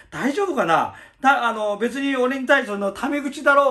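A man's extremely high-pitched voice, bright and sharp in tone, at a moderate pace over a quiet background. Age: 50s. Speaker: YouTuber, former gang founder; channel host answering another creator. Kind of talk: answer video monologue. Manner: hesitant, many fillers. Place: home room. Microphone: phone near.

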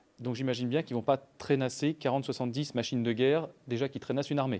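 A man talks fairly quickly, his tone dark and mellow. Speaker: project team member asking questions. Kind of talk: Q&A discussion. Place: hall.

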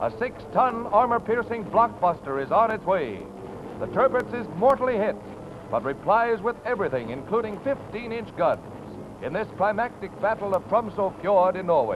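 Over noticeable background noise, a man with a high-pitched voice talks at a moderate pace with ordinary pitch variation. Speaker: newsreel narrator. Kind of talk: newsreel narration. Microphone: old recording.

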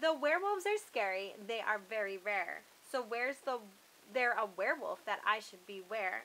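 A woman puts on a growling character voice, pitched fairly high. She moves at a moderate pace. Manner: snarling, snapping, growling.

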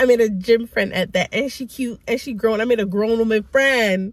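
This woman talks at a moderate pace. Ordinary pitch variation runs through her speech. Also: fairly high pitch for a woman.

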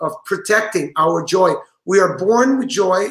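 Against a quiet background with audible room echo, a man speaks at a high pitch and a fairly slow pace with ordinary pitch variation. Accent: Portuguese. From Brazil. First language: Portuguese. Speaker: rabbi and author; rabbi. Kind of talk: interview. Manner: halting. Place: home room.

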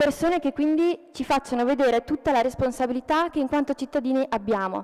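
A woman talks at a fairly quick pace with fairly even intonation. Behind her, the background is quiet. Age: 20s. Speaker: law student. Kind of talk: testimony speech. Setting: stage with audience. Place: hall. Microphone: podium.

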